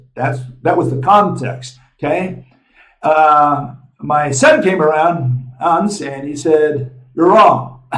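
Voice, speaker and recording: Speaking at a very slow pace, a man with a fairly high pitch uses ordinary pitch variation amid audible room echo. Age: 70s. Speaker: physics lecturer and channel host. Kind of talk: lecture. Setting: on the road, traveling. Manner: casual, with many fillers. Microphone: small camera mic, sound may be poor.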